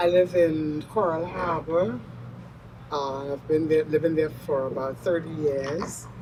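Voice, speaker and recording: With noticeable background noise, a woman speaks at a fairly slow pace in a very deep, low pitch. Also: fairly even intonation. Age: 70s. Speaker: mother honored at church. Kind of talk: interview testimony.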